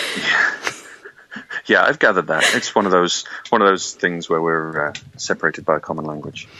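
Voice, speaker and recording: A man's very deep, low voice with a British accent, fairly quick yet broken by long, frequent pauses, with ordinary pitch variation over noticeable background noise. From Yorkshire, England. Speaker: public health specialist and debater. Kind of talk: interview. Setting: video call. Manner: hesitant, many fillers.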